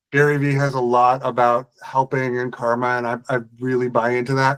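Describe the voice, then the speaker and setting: The sound is dry and close, with no echo. A man talks fairly quickly at a medium pitch in a monotone, flat intonation. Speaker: business owner, HubSpot solutions provider. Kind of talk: casual group discussion. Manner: hesitant, many fillers.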